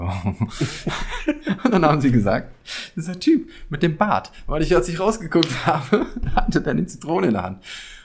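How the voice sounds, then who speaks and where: A man talks at a moderate pace. He has an East Westphalian accent. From Paderborn, East Westphalia. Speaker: podcast guest, friend of host. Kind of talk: casual chat.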